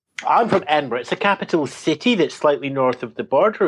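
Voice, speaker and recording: Here a man talks with a Scottish accent. He moves at a fairly quick pace with lively intonation. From Scotland. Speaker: tech journalist. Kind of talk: panel discussion.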